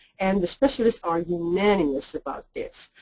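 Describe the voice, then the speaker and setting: A woman's dark, mellow tone with a Quebec accent, lively intonation and a moderate pace, in a dry, close sound with no echo. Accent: French-Canadian accent in English. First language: French. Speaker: linguist. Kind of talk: lecture. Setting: webinar.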